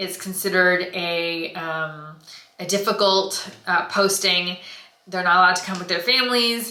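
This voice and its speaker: A woman with an American accent, medium pitch and fairly even intonation at a moderate pace, with audible room echo and noticeable background noise. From United States. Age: 30s. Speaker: skincare vlogger. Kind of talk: casual vlog talk.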